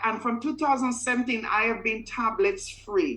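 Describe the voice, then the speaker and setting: A woman speaks with a Caribbean accent. Her voice is fairly high, with a bright, sharp tone. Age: 50s. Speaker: customer giving a testimonial. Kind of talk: testimony.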